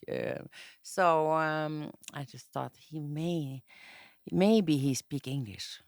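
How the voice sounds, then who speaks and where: In a very clean, silent recording with dry, close sound and no echo, the speaker uses a Norwegian accent, talks very slowly with long, frequent pauses, and swings widely in loudness. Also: woman, very deep, low pitch for a woman, ordinary pitch variation. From Norway, north (Tromsø). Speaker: interview guest. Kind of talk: casual interview chat. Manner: halting.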